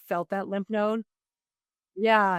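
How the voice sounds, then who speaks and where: At a moderate pace, a woman speaks at a medium pitch in a dry, close sound with no echo and a quiet background. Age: 60s. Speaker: holistic nutritionist. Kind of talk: casual interview chat. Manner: lively.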